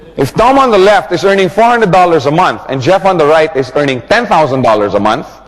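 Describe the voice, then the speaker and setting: A man talks very fast in an animated tone, hardly pausing at all. His fairly high voice swings very widely in pitch over noticeable background noise. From Philippines. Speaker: network marketing trainer. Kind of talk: training seminar.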